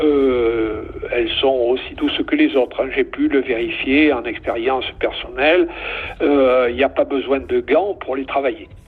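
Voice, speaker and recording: Noticeable background noise is present. Over it, a man talks fairly slowly. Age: 70s. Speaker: beekeeping association section president. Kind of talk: interview. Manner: halting, many fillers.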